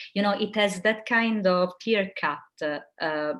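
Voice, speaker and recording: This is a very clean recording with a silent background. The woman's intonation is lively. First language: not English. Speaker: philosophical counselor and professor. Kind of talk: interview talk. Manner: hesitant, many fillers.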